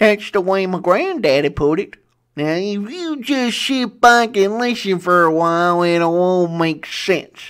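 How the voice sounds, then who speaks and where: In a put-on character voice, a woman speaks at medium pitch and a fairly slow pace with lively intonation, on a very clean recording with a silent background. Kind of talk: classic Western radio drama. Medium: audio drama. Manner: folksy, cantankerous.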